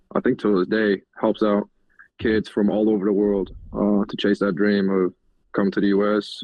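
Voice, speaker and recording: A man speaks at a moderate pace with a slight Southern US accent. His voice is fairly low and flat, in a monotone. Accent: southern-tinged. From Germany. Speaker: college football tight end. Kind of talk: podcast interview answer.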